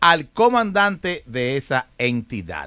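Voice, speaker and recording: A man's fairly high voice in a bright, sharp tone, with very wide pitch swings, a dry sound with no echo and a quiet background. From Dominican Republic. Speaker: news commentary show host. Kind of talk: casual interview chat; reading news aloud. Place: studio. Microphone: studio mic.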